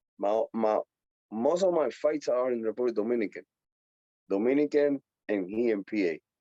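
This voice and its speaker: Dark and mellow in tone, a man's medium-pitched voice carries lively intonation at a moderate pace. He pauses long and often, and the sound is dry and close with no echo. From Puerto Rico. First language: Spanish. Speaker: professional boxer. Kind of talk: interview.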